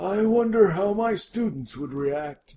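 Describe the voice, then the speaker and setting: A man in a put-on character voice. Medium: audio drama. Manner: warm, genial, avuncular.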